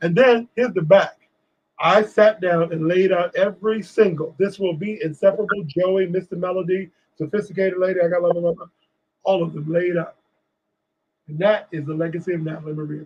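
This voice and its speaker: In an American accent, a high-pitched man speaks fairly quickly with fairly even intonation and big swings in loudness. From Washington DC. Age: 60s. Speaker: author and TV producer. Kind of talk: interview conversation.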